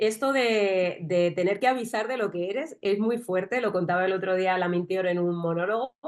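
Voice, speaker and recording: A woman with a strong Madrid accent speaks at a fairly slow pace, her medium-pitched voice showing ordinary pitch variation. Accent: strong south Madrid. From southern Madrid, Spain. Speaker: interviewer, journalist. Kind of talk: interview.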